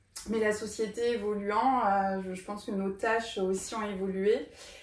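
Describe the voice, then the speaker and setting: With audible room echo around her, a woman speaks at a fairly slow pace and fairly even intonation. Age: 40s. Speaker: doula. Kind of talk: interview. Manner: hesitant, many fillers.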